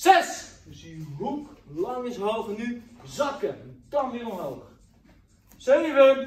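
Audible room echo surrounds a man's very slow speech. His pitch swings very widely. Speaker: kickboxing coach. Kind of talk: workout instruction and counting. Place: gym. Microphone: camera far.

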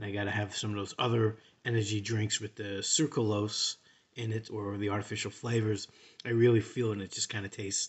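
Somewhat breathy, the voice moves at a fairly quick pace in a flat monotone against a quiet background. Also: man. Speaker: product reviewer. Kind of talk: casual product review chat. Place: home room. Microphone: phone near.

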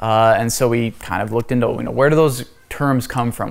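Fairly even intonation marks how this man speaks. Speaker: class teacher. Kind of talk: lecture. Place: church.

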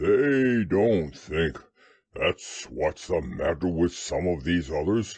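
A put-on character voice from a man, very deep and low in pitch, with a rumbling sound. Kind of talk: bedtime story. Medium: read story. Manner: gloomy, grumbling, self-pitying.

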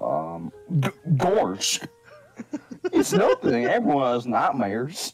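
A very slow, fairly high-pitched put-on character voice from a man.

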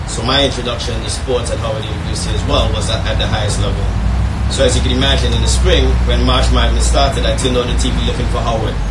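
Loud background noise runs under a man talking at a very fast pace. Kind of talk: speech. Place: tent.

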